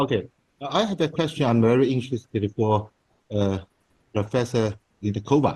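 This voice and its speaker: A man with a Chinese accent speaks at a moderate pace with long, frequent pauses. His voice is medium in pitch, somewhat breathy and dark and mellow in tone, with ordinary pitch variation. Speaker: conference participant. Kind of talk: panel Q&A on video call. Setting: video call. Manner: halting.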